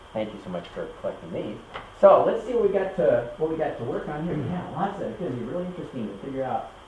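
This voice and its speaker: Over noticeable background noise and audible room echo, a man with an American accent talks at a fairly quick pace. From US, Kentucky. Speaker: university lecturer. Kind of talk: lecture. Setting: classroom. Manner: halting, many fillers.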